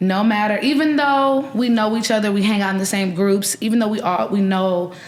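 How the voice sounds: A woman with an American accent at medium pitch, fairly quick in pace and fairly even in intonation.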